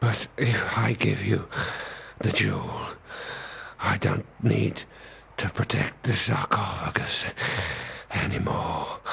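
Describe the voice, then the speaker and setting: Over clear background noise, a man does a cartoonish character voice at a fairly slow pace with long, frequent pauses. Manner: dithering, bureaucratic.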